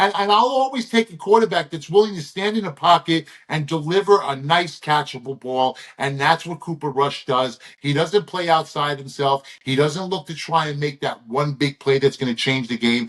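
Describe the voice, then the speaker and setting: Lively intonation runs through a man's fairly high voice as he speaks at a moderate pace. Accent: American. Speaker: sports betting handicapper. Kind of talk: sports betting picks show, casual chat. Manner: animated.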